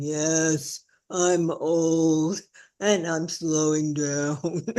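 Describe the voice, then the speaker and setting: A put-on character voice at a middle pitch, monotone and flat, at a very slow pace. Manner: slow, weary.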